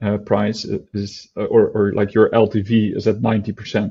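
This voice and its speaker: The man's voice sits fairly low in pitch, and his intonation is monotone and flat. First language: not English. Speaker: product team member, DeFi explainer. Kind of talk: casual explainer chat. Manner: halting, many fillers.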